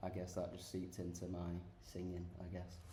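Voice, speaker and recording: Speaking at a moderate pace with a Sheffield accent, a man with a very deep, low voice is heard with audible room echo. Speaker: rock band guitarist and singer. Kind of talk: casual interview chat. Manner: hesitant, many fillers.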